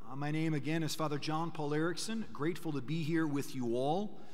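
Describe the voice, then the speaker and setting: A man speaking at a fairly quick pace against a quiet background. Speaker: priest giving a parish mission talk. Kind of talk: sermon. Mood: warm, lightly humorous. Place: church. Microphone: podium.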